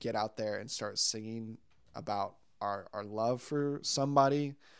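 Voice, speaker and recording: Against a quiet background, a man speaks fairly slowly in an ordinary speaking voice, medium in pitch, with ordinary pitch variation. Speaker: worship leader. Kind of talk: casual chat. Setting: apartment recording.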